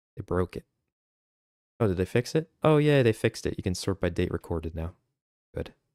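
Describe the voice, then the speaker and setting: A man speaks at a moderate pace with a very deep, low pitch and lively intonation. The sound is dry and close with no echo, on a very clean recording with a silent background. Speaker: gaming streamer. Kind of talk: live commentary. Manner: subdued, reserved.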